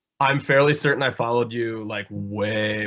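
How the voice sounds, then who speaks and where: Backed by music, a man with an American accent talks at a fairly quick pace. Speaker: podcast host. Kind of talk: casual chat.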